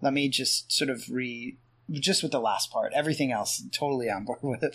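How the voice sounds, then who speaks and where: Recorded very cleanly against a silent background, a man with a plain, everyday voice and an American accent speaks at a fairly high pitch with ordinary pitch variation. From Pennsylvania. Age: 40s. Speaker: author and podcaster. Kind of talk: casual chat.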